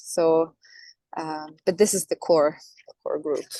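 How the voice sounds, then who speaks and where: A woman with a Norwegian accent speaks at a very slow pace in a fairly low pitch, her intonation monotone and flat. The background is quiet. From Norway. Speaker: singer. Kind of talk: interview. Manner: halting.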